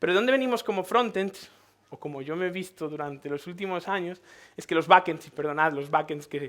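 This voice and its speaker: A man with a Galician accent speaks at a fairly quick pace in a high voice, with an animated tone. His loudness swings widely, while his pitch varies in an ordinary way. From Galicia, Spain. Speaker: tech conference speaker. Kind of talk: conference talk. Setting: stage with audience. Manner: animated, conversational.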